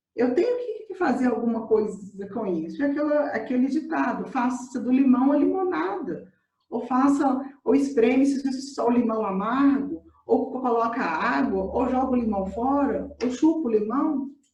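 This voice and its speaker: Amid audible room echo, a woman with a high voice speaks at a fairly slow pace. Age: 30s. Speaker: coach. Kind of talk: testimony. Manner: halting.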